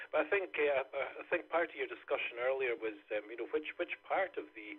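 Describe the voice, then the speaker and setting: In a Scottish accent, a man talks at a moderate pace. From Scotland. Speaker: amateur radio operator. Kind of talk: radio net check-in. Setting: amateur radio net. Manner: hesitant, many fillers.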